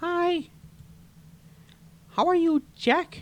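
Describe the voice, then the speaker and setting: In a put-on character voice, a man sounds squeaky at an extremely high pitch. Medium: actual play.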